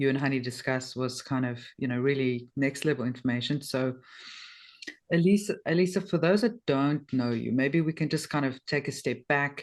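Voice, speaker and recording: Very deep, low pitch from a woman, moderately paced and with ordinary pitch variation. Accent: South African. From South Africa. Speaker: podcast host. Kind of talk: interview.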